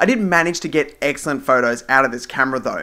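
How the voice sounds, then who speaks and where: Bright and sharp in tone, a man with an Australian accent speaks in a fairly high voice with lively intonation. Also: very clean recording, silent background. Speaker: tech reviewer. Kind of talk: scripted review narration. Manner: formal.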